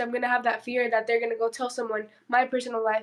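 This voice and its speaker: The speech comes at a very fast pace. It carries a Spanish accent. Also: woman. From southern California and Mexico. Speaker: podcast guest. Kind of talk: casual chat.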